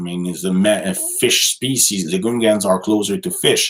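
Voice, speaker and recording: A man with a strong Quebec accent, fairly low in pitch, at a fairly slow pace. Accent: thick French Quebec. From Quebec City. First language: French. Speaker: live streamer. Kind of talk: casual live stream chat reading comments. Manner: halting, many fillers and repetitions.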